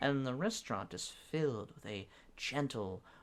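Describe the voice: The text is read aloud plainly, with lively intonation.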